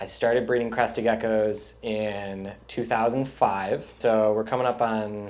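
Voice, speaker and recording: There is music in the background and audible room echo. A man speaks at a fairly low pitch and a fairly slow pace in a monotone, flat intonation. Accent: Midwestern US. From US Midwest, Chicago suburbs, Illinois. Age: 30s. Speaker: reptile breeder. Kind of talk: interview.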